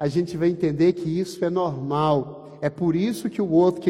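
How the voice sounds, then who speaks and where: A man talks with a high pitch. There is noticeable background noise behind him. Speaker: pastor. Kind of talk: sermon.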